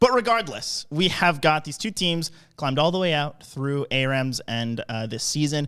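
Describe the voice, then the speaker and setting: This is a man's voice. His tone is animated. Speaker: esports caster. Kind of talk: live commentary.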